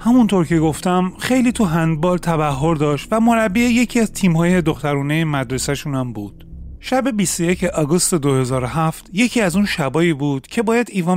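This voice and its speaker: A high-pitched man with very wide pitch swings at a moderate pace, with music in the background. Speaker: true crime podcaster. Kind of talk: true-crime narration. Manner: steady storytelling, grave and measured; fluent, formal written-style delivery.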